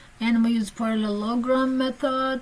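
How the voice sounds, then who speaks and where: A woman speaks at a fairly slow pace with a fairly high pitch. Noticeable background noise and audible room echo fill the recording. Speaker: physics teacher. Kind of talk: lecture.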